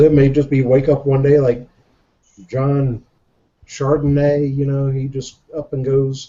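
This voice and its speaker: A man with a Southern accent talks at a fairly slow pace. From Jacksonville, Florida. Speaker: show guest, reseller. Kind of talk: casual chat.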